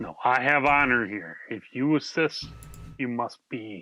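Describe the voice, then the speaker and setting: Using a put-on character voice, a man speaks fairly slowly at a medium pitch. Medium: actual play. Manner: blunt.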